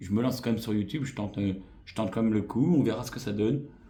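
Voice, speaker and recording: Speaking at a very fast pace, a man uses ordinary pitch variation in a room with audible echo. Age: 40s. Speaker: YouTuber. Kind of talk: vlog channel introduction. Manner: hesitant, many fillers.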